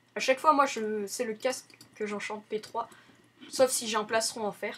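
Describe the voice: A woman with a fairly high pitch and a slightly husky edge speaks at a moderate pace with fairly even intonation.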